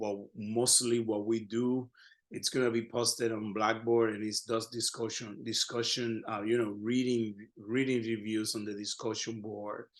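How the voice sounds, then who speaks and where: Speaking at a medium pitch and a moderate pace, a man with a Spanish accent keeps a flat, monotone intonation. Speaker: Spanish professor. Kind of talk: lecture. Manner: halting.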